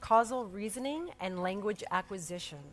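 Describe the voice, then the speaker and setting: With music in the background, a woman talks at a moderate pace and medium pitch, with ordinary pitch variation. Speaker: museum executive director. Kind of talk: welcome speech. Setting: stage with audience. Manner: soft-spoken.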